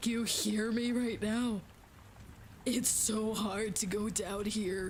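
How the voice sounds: A put-on character voice with a fairly high pitch, strained, speaking in a flat monotone at a fairly slow pace.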